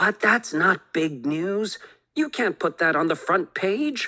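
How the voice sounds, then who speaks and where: In a put-on character voice, a woman sounds raspy at a medium pitch. She goes at a fairly slow pace with very wide pitch swings. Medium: read story. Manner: brisk, matter-of-fact.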